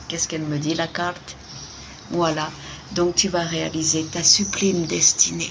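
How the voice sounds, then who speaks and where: The soft-spoken voice moves at a very slow pace over noticeable background noise. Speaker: tarot card reader. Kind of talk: card reading.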